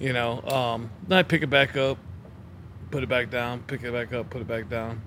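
A man talks in an ordinary speaking voice, his mid-range pitch holding fairly level at an even, moderate speed. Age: 40s. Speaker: sales manager. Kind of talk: casual chat.

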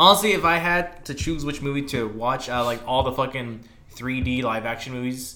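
Noticeable background noise sits behind a man speaking at a medium pitch. He keeps a moderate pace with ordinary pitch variation. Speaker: podcast co-host. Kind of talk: casual chat. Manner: casual, heavy profanity.

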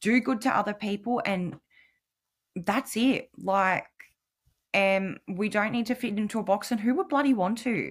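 A woman with an Australian accent speaks at a fairly slow pace in a fairly high, somewhat breathy voice with ordinary pitch variation and long, frequent pauses, on a very clean recording with a silent background. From New South Wales, Australia. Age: 30s. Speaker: podcast guest, single mother with ADHD. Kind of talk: casual interview chat.

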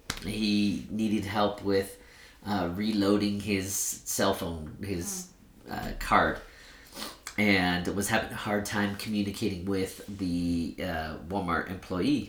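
A man with an American accent and a fairly low pitch, a flat monotone delivery, a very slow pace, long and frequent pauses, and audible room echo. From Sacramento, California. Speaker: nonprofit director. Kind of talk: podcast interview.

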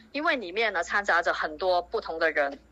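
A woman talks at a fairly quick pace. Her tone is bright and sharp, and her intonation is lively. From Zhongshan, Guangdong, China. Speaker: community group organizer. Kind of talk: interview.

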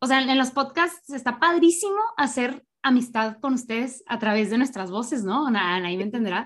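A woman with a high pitch and lively intonation talks at a moderate pace with hardly any pauses, on a very clean recording with a silent background. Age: 20s. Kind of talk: casual chat.

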